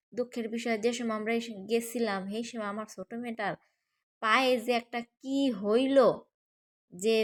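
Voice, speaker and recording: A fairly high-pitched woman's voice, dry and close with no echo. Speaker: vlogger. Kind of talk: casual vlog narration. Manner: animated.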